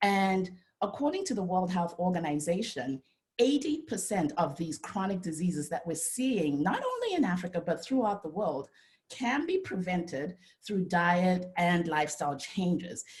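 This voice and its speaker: Somewhat breathy, this woman's voice sits at a medium pitch and moves at a moderate pace. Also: lively intonation. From Zimbabwe. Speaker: dietitian and nutritionist. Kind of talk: presentation talk. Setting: video call. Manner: animated.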